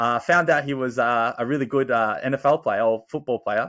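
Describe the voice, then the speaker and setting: A very clean recording with a silent background, at a moderate pace. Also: man. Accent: Australian. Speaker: podcast host. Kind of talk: casual chat.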